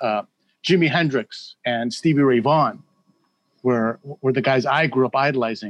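In an unremarkable speaking voice, a man of medium pitch talks at a moderate pace with ordinary pitch variation. The sound is dry and close, with no echo. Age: 50s. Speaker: musician. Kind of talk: casual chat.

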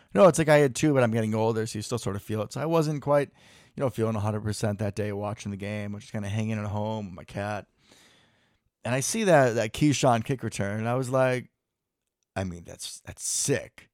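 Fairly quick and with an unremarkable speaking voice, a man talks at medium pitch with ordinary pitch variation and big swings in loudness. It is a very clean recording with a silent background. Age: 20s. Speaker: podcast host and nurse. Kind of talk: casual chat. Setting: home basement recording.

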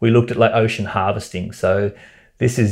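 A man with an Australian accent and a dark, mellow tone speaks against a quiet background. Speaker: environmentalist. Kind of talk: interview. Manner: animated.

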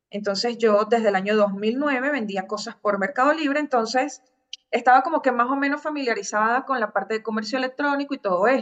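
A woman talks at a fairly quick pace in a normal speaking voice. Her pitch is fairly high, with ordinary variation. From Venezuela, Caracas. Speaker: digital marketing agency founder. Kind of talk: interview.

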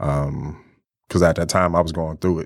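In an American accent, a man speaks in a very deep, low pitch with monotone, flat intonation. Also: very clean recording, silent background. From Ypsilanti, Michigan. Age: 40s. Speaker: mentor. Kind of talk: interview.

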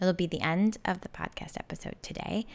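The recording is very clean, with a silent background. A woman with a plain, everyday voice speaks at a fairly low pitch with fairly even intonation. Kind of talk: guided meditation. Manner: slow, soothing, calm and gentle, with deliberate pauses between instructions.

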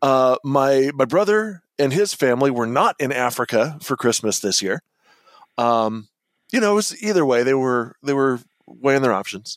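A plain, everyday voice from a man at medium pitch, lively in intonation, very even in loudness, at a moderate pace, with a dry, close sound and no echo. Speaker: podcast host. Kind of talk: casual comedic chat.

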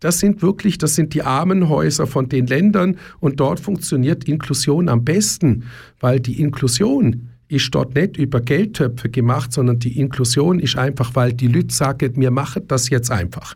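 A somewhat breathy man with a fairly high voice speaks at a very even loudness. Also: ordinary pitch variation, moderate pace. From Germany. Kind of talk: radio interview. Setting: radio studio. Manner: repetitive, restarts often.

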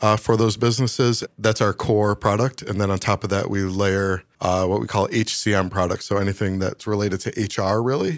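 A man speaks in a plain, everyday voice with an American accent, his pitch fairly low and his intonation fairly even. He keeps a moderate pace, and the recording is very clean with a silent background. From US Northeast, Syracuse, New York. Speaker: user research team lead. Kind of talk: interview.

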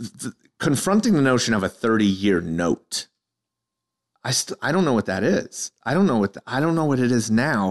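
A man with an American accent speaks at a moderate pace and medium pitch, with very wide pitch swings. The sound is dry and close, with no echo. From New York City, Staten Island. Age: 40s. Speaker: comedian. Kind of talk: casual chat.

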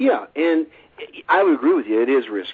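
Using a plain, everyday voice, a man speaks fairly quickly, and his pitch varies in an ordinary way. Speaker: survival podcast host. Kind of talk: casual interview. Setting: phone call. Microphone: telephone line.

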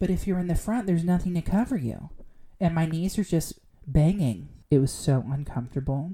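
With a dark, mellow tone and lively intonation, the speaker moves at a fairly quick pace in an American accent. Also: woman. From Southern California. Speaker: podcast co-host. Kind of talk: casual chat.

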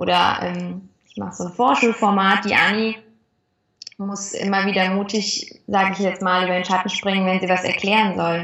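Her intonation monotone and flat, a woman speaks at medium pitch and a moderate pace. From western Germany, near Cologne. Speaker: actress. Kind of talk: interview. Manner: cheerful.

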